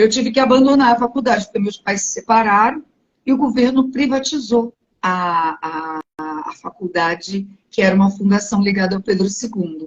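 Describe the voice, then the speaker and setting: At a moderate pace, a woman with a medium pitch sounds somewhat breathy and uses lively intonation. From Brazil, Rio de Janeiro (Penha suburb). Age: 60s. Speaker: teacher and writer. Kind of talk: interview.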